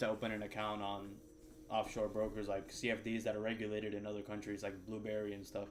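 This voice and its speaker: A man with a slight Cuban American accent talks very fast at a fairly low pitch in a monotone, flat intonation, with audible room echo and noticeable background noise. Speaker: day trader streamer. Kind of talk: casual chat during live trading stream.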